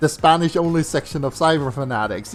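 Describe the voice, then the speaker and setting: A man speaks with a Swedish accent. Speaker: video game streamer. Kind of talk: casual chat. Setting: live stream. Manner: hesitant, many fillers.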